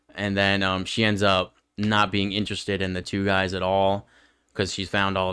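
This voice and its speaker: A man with an American accent speaks at a moderate pace, his fairly low voice monotone and flat. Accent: New York accent, noticed by others. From northern New York. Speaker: podcast co-host. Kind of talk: casual chat.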